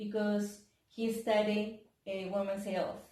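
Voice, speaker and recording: Audible room echo surrounds a woman with a medium pitch. She speaks with a Spanish accent. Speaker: physical therapist. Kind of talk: exercise tutorial. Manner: halting; animated.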